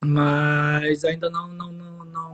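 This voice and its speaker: Music plays in the background. A man speaks with monotone, flat intonation. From Brazil, Pará (mixed accent from company town). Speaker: electrical engineer. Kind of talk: interview.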